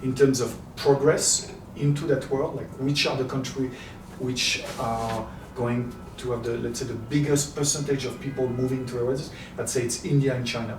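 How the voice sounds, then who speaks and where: Speaking with a French accent at a moderate pace, a man of medium pitch keeps a monotone, flat intonation amid audible room echo and noticeable background noise. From France, Paris. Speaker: happiness coach and entrepreneur. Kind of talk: interview. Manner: halting.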